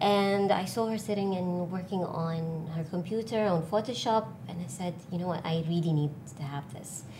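A woman speaks at a moderate pace with hardly any pauses, her fairly low, dark and mellow voice somewhat breathy, with ordinary pitch variation and audible room echo. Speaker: artist and designer. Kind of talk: casual interview.

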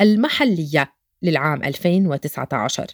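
A woman with a fairly low pitch speaks in a very clean recording with a silent background. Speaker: photojournalist narrator. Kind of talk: scripted narration.

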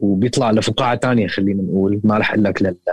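Recorded with a dry, close sound and no echo, a man speaks with ordinary pitch variation. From Damascus, Syria. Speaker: rapper and music producer. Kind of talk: podcast interview. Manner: hesitant, many fillers, mixes in English words.

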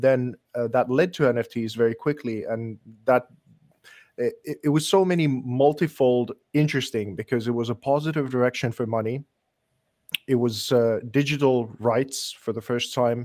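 A man at medium pitch speaks in a normal speaking voice at a moderate pace, with ordinary pitch variation and a dry, close sound with no echo. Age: 40s. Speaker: digital artist. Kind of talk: casual chat.

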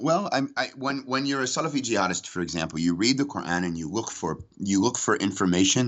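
Talking at a very fast pace with very wide pitch swings, a man speaks with an American accent. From United States. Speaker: former jihadist, counter-extremism worker. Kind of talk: interview.

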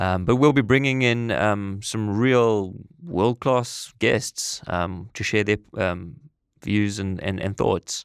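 Speaking at a very slow pace in a South African accent, a man with a fairly low pitch and ordinary pitch variation is heard on a very clean recording with a silent background. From South Africa (East London, Eastern Cape). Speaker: podcast co-host and entrepreneur. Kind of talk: casual chat. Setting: studio. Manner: halting, many fillers.

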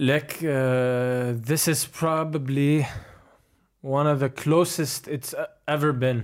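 A man at a very slow pace, fairly high in pitch with fairly even intonation, in a very clean recording with a silent background. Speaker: professional basketball player. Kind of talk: casual interview.

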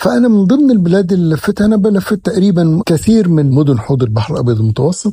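A dark, mellow voice at a fairly quick pace, with very wide pitch swings, very even loudness and hardly any pauses. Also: man, high pitch for a man. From Egypt, Alexandria (Laban district). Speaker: engineering consultant and author. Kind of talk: interview. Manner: formal, mixing Standard Arabic with Egyptian dialect.

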